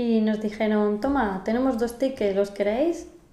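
A woman speaks with a fairly high pitch and ordinary variation. Room echo is audible. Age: 30s. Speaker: podcast host, Spanish teacher. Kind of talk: casual chat, language-learning conversation.

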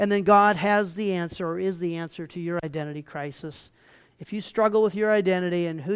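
The text is read aloud in a natural voice.

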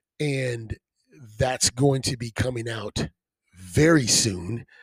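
The man's voice is somewhat breathy, at a medium pitch with ordinary pitch variation. The sound is dry and close with no echo. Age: 20s. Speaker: podcast host. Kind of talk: casual interview chat. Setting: recorded in guest's home.

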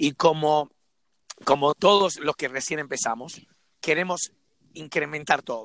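Long, frequent pauses break up this man's fairly slow speech. His pitch is fairly high, with ordinary variation. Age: 40s. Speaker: CrossFit coach. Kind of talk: casual chat. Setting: remote call.

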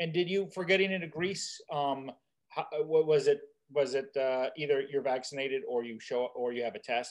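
In an ordinary speaking voice, a man speaks fairly high at a moderate pace, with ordinary pitch variation. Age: 50s. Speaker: podcast host. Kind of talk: casual chat.

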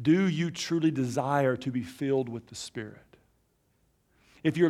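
Someone with an Alabama accent speaks at a moderate pace with ordinary pitch variation. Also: man. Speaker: pastor. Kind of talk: sermon. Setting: church.

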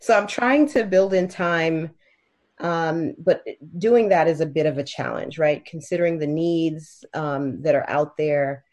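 Against a quiet background, a woman with an American accent and an ordinary speaking voice talks at a fairly slow pace, fairly low in pitch with ordinary pitch variation. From Miami, Florida. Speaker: state legislator and attorney. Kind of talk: interview.

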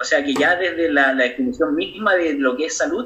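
Moving at a moderate pace, a man with high pitch makes very wide pitch swings. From Chile, Aconcagua Valley (San Felipe). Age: 20s. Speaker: doctor. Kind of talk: interview.

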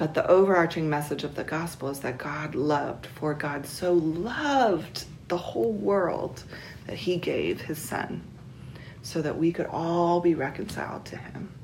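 Against noticeable background noise, a woman speaks at a fairly slow pace in an American accent. Her pitch is fairly low, with ordinary variation. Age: 40s. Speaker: interviewee, Trump voter. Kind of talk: interview answers.

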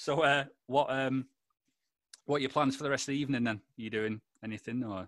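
Talking at a fairly quick pace but with long, frequent pauses, a man with a Lancashire accent uses a medium pitch. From Lancashire, northern England. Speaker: podcast host. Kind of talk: casual chat. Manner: animated.

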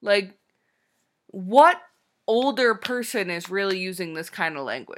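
On a very clean recording with a silent background, a woman speaks at medium pitch with lively intonation. She goes at a fairly slow pace, with long, frequent pauses and big swings in loudness. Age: 20s. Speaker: podcast co-host. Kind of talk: casual chat. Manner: laughs often.

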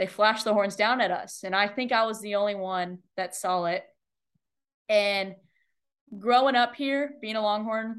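Against a quiet background, a woman with an American accent and an unremarkable speaking voice talks at a fairly high pitch and a fairly slow pace with fairly even intonation. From Texas, Austin. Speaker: college golfer. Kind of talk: interview.

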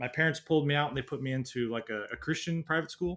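A man talks with a Pacific Northwest accent in a bright, sharp tone. His pitch is fairly high, with ordinary variation. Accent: American (Pacific Northwest). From US Pacific Northwest (Washington State, near Seattle). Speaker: traveler and YouTuber, former design engineer. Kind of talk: casual interview. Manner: hesitant, many fillers.

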